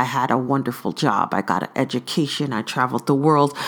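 Recorded very cleanly against a silent background, a woman talks at a moderate pace. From Brooklyn, New York. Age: 40s. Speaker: podcast host. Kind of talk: solo podcast monologue.

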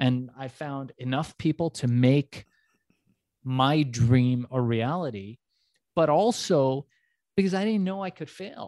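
Recorded with a dry, close sound and no echo, a man with an American accent and a fairly high pitch speaks very slowly in a dark, mellow tone, with lively intonation, big swings in loudness, and long, frequent pauses. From US West Coast, emigrated from Iran at age four or five. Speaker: entrepreneur and business coach. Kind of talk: interview. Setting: remote interview, host on other coast.

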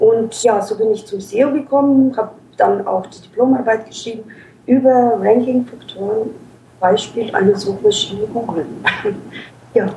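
Over noticeable background noise, a woman with a fairly high pitch talks at a moderate pace with fairly even intonation, big swings in loudness, and long, frequent pauses. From Ukraine. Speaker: SEO manager. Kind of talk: interview.

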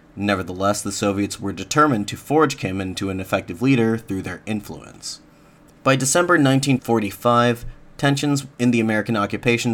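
In an ordinary speaking voice, a man talks fairly quickly at a medium pitch with ordinary pitch variation. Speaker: podcast host. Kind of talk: history documentary narration. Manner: measured, formal, even-paced.

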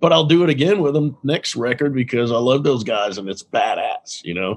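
A man is speaking with lively intonation. His pitch is fairly high. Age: 50s. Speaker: self-employed music producer and mixer. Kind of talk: casual chat. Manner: animated.

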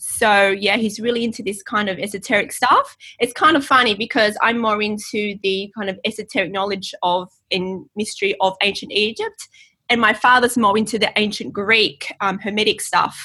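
A woman speaks with an Australian accent. Her pitch is fairly high and her tone bright and sharp. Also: fairly even intonation, moderate pace. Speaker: channeler. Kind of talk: casual chat; channeled message reading.

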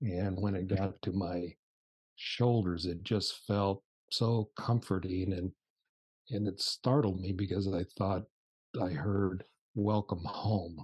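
Somewhat breathy and fairly low-pitched, a man with an American accent speaks at a very slow pace with long, frequent pauses and fairly even intonation, in a dry, close sound with no echo. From United States. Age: 70s. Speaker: spiritual teacher. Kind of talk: casual chat. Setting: video call.

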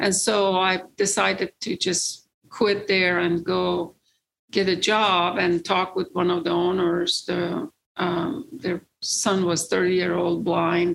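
In an Iranian accent, a woman talks at a very slow pace with vocal fry, fairly even intonation and very even loudness. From Iran, rural village. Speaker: real estate investor. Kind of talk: interview, personal story. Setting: studio. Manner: halting, many fillers.

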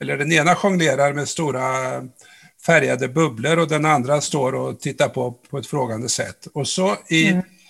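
This man has a normal speaking voice, talking at a fairly high pitch and moderate pace with ordinary pitch variation. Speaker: podcast host. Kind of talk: interview, conversational.

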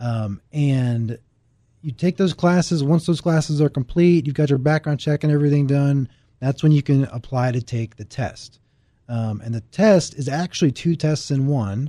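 This man's voice sits fairly high in pitch, with a dark, mellow tone, ordinary pitch variation, and a moderate pace. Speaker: real estate broker. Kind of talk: casual interview chat. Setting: studio.

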